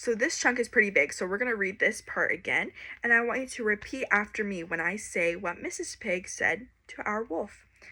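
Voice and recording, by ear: The passage is read aloud in a natural voice.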